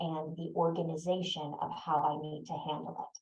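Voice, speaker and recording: A woman speaks at a fairly slow pace in a fairly low, somewhat breathy voice. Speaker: neurodiversity consultant. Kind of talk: webinar talk. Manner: pauses.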